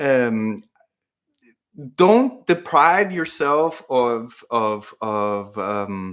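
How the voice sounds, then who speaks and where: A man speaks with a Spanish accent and very wide pitch swings. The recording is very clean, with a silent background. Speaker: fitness YouTuber. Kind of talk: live Q&A stream. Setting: livestream at home computer. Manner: casual, hesitant with fillers.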